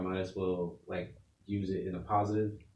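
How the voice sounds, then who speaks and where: With an American accent, a man speaks at a fairly low pitch amid audible room echo. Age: 20s. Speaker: amateur MMA fighter. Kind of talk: casual chat. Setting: studio.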